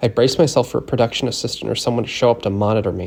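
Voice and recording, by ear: The text is read aloud in a natural voice.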